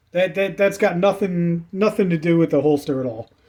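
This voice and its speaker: The man speaks in a dark, mellow tone. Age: 40s. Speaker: YouTuber reviewing firearms gear. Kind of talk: product review. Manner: casual, repetitive stammering.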